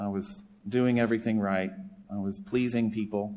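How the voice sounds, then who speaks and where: Fairly low in pitch, a man talks with a slight Southern US accent. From US South, South Carolina. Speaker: charity director and former pastor. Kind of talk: sermon. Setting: church.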